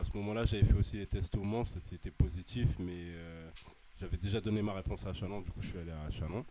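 Very deep and low in pitch, this man's voice has a dark, mellow tone and ordinary pitch variation. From northern France, Amiens. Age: 20s. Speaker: basketball player. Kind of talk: casual interview.

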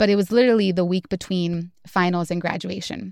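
Fairly quick speech with fairly even intonation comes through a dry, close sound with no echo on a very clean recording with a silent background. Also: woman. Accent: Californian. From Southeast Los Angeles. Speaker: podcast engagement producer. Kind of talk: interview.

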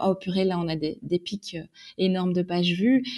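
Against a quiet background, a woman with an unremarkable speaking voice talks at a medium pitch and a moderate pace. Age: 30s. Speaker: magazine editor-in-chief. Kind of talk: casual interview.

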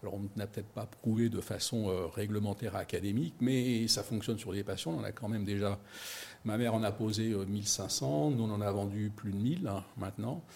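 Somewhat breathy and dark, mellow in tone, this man's voice sits fairly low with ordinary pitch variation. He keeps a moderate pace. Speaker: company founder. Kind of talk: investor pitch interview. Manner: hesitant.

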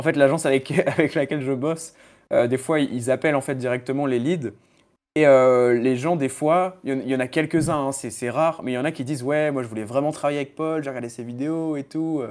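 With fairly even intonation and a fairly quick pace, a man speaks in an unremarkable speaking voice on a very clean recording with a silent background. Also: fairly high pitch for a man. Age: 20s. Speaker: freelance SEO consultant. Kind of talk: casual chat.

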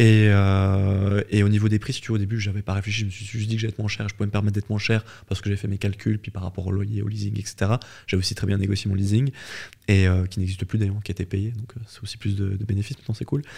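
A man speaks at a very fast pace, his voice fairly low, somewhat breathy, and dark and mellow in tone. His intonation is monotone and flat, in a very clean recording with a silent background. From French-speaking Switzerland. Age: 30s. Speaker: fitness entrepreneur. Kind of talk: interview.

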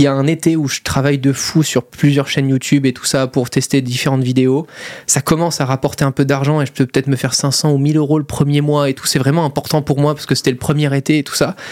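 Talking at a very fast pace, a man keeps a monotone, flat intonation. His pitch sits fairly high. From Monaco. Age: 20s. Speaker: YouTuber and entrepreneur. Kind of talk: casual interview.

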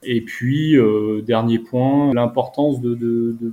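This man's medium-pitched voice has a dark, mellow tone and fairly even intonation, and he speaks at a very slow pace. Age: 30s. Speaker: parent and diabetes research blogger. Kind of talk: casual conversation. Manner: halting, many hesitations.

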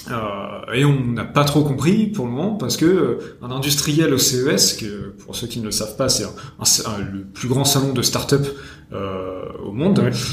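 Noticeable background noise can be heard. Against it, a man talks at a fairly slow pace. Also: medium pitch for a man, lively intonation. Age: 20s. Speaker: podcast host. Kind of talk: interview.

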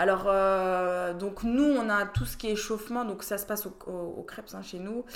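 A woman with a medium pitch speaks at a moderate pace with hardly any pauses and fairly even intonation, her loudness swinging widely amid audible room echo. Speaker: rugby player and team captain. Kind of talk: casual interview.

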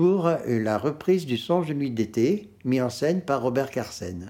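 A man's medium-pitched voice, dark and mellow in tone, at a fairly slow pace with very wide pitch swings. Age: 70s. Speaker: retired opera hairdresser and make-up artist. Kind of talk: interview, personal anecdotes. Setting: at his home.

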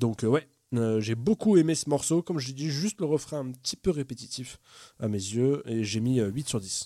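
A man's medium-pitched voice with a dark, mellow tone, lively intonation and moderate pace, in dry, close sound with no echo on a very clean recording with a silent background. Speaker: podcast panelist. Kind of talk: casual chat.

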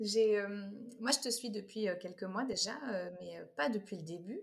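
With medium pitch and ordinary pitch variation, a woman speaks in a somewhat breathy voice. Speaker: podcast host. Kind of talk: podcast interview.

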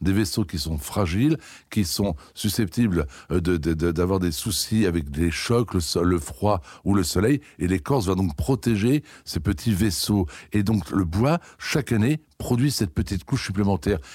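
Very deep and low in pitch, a man speaks at a fairly slow pace with lively intonation. His voice is somewhat breathy and his loudness very even. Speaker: head gardener. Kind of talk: interview.

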